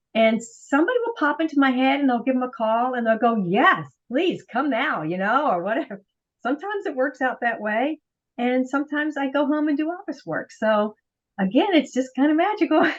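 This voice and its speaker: A woman speaks fairly quickly in a high voice, her pitch swinging very widely. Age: 60s. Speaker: professional organizer. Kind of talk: interview.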